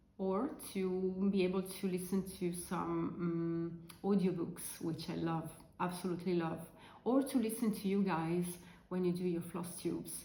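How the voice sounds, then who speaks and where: Amid noticeable background noise and audible room echo, a woman with an Italian accent talks fairly slowly at a fairly low pitch with fairly even intonation. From Italy. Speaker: crafting vlogger. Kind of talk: casual chat. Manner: halting, many fillers.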